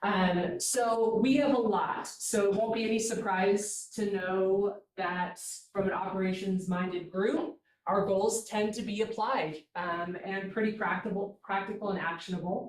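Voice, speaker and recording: A woman of medium pitch uses a normal speaking voice, talking at a fairly slow pace with fairly even intonation. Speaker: staff member presenting a work group report. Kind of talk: meeting presentation. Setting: hybrid meeting, in person and on Zoom.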